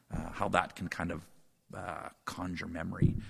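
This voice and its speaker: This is a man speaking. He has a Canadian Prairies accent. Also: very clean recording, silent background. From Saskatchewan, Canada. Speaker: professor. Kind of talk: casual chat.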